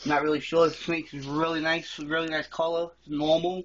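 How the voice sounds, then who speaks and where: A fairly high-pitched man talking at a fairly quick pace. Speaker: reptile keeper vlogger. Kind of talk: casual video tour. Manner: fast. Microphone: phone recording.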